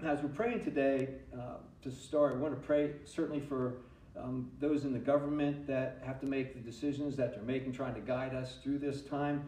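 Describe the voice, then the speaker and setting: The voice keeps a moderate pace and fairly even intonation. Audible room echo surrounds it. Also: man. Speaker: pastor. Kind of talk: sermon. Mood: earnest, calm. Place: church.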